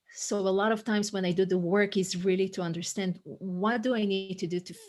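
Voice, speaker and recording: A woman speaks at a medium pitch. Her intonation stays flat and monotone. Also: fairly quick pace. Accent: Israeli. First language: Hebrew. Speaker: coach and author. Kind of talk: podcast interview. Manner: halting, frequent word repetitions.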